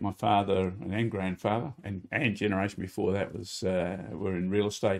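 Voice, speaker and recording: A man with an Australian accent, a fairly low voice, and a moderate pace. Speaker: former real estate agent. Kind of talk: interview. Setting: studio. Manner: halting.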